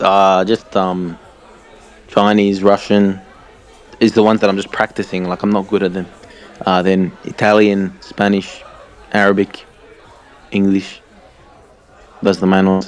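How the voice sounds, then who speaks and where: With crowd noise in the background, a man with an Australian accent speaks in a fairly low pitch and a monotone, flat intonation, leaving long, frequent pauses. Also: moderate pace. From Australia, Tasmania. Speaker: language learner in chat group. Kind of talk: casual chat.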